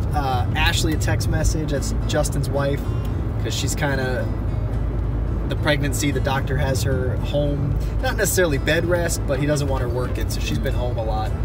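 A man speaks with a dry sound and no echo. Music plays in the background. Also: moderate pace. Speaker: vlogger. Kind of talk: casual vlog chat. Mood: relaxed, chatty. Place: car. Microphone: phone near.

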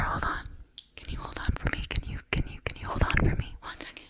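Whispering, a woman speaks at a very fast pace. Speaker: ASMR creator. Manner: soft close-mic ASMR voice. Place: home room. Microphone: studio mic.

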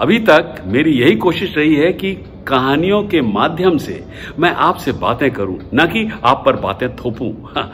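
A fairly slow pace over light background noise. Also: man. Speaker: storyteller. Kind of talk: storytelling to camera. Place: home room. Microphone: phone near.

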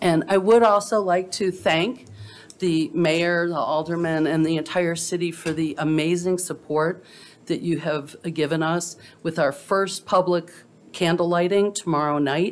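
With music in the background, a woman with a fairly low voice speaks at a fairly slow pace with fairly even intonation. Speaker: invocation giver at council meeting. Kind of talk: prayer reading then announcement. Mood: solemn, reverent. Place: hall. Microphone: podium.

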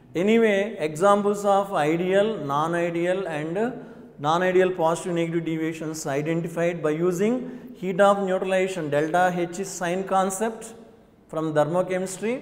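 Speaking with fairly even intonation at a moderate pace, a man has a high pitch. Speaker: chemistry teacher. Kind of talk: lecture. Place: studio. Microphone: lapel.

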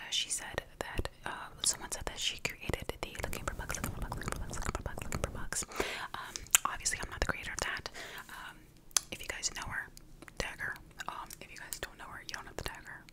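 A woman speaks at a fairly quick pace. Loud background noise fills the recording. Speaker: ASMR creator. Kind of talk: soft casual ASMR chat. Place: home room. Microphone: studio mic.

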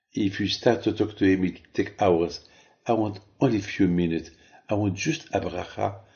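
A man speaks at a fairly slow pace with a very deep, low pitch and fairly even intonation. His voice is somewhat breathy over a quiet background. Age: 70s. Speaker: rabbi. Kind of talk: sermon. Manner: halting.

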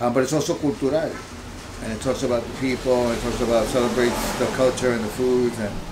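A man with a Spanish accent talks at a fairly quick pace in a monotone, flat intonation. Noticeable background noise runs underneath. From Long Island, New York (Puerto Rican family). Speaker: multimedia artist. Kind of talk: interview. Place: home room.

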